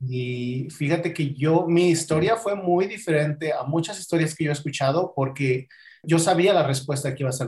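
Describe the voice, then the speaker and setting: At a moderate pace, a man talks with a fairly high pitch, a somewhat breathy voice and ordinary pitch variation. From Mexico, Acapulco (Guerrero). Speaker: podcast guest sharing life story. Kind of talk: personal testimony in interview.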